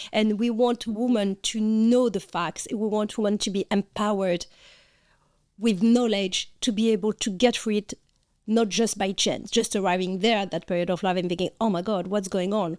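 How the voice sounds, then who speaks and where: Intonation is fairly even. The recording is very clean, with a silent background. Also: woman, medium pitch for a woman, moderate pace, dry, close sound with no echo. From France. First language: French. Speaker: podcast co-host, functional nutritionist. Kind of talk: casual chat.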